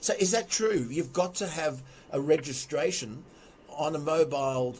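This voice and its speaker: With an Australian accent, a man delivers his words at a medium speed. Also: fairly high pitch for a man, ordinary pitch variation. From Sydney, Australia. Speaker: radio segment presenter. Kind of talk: talkback radio discussion. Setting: home podcast studio.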